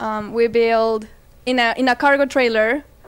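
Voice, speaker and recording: Recorded very cleanly against a silent background, a woman with a Spanish accent speaks at a moderate pace in a fairly high pitch with monotone, flat intonation. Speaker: plant business owner. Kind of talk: interview.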